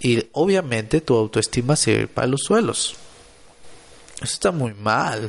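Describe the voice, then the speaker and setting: A man with a medium pitch, lively intonation and a fairly slow pace. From Mexico, Monterrey, Nuevo León. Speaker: podcaster and motivational content creator. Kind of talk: motivational solo podcast monologue.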